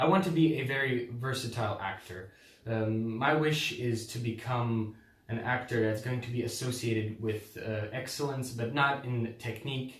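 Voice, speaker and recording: Noticeable background noise sits behind a man speaking at a medium pitch. His pace is moderate and his intonation fairly even. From Croatia. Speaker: drama student applicant. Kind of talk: audition statement to camera. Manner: hesitant.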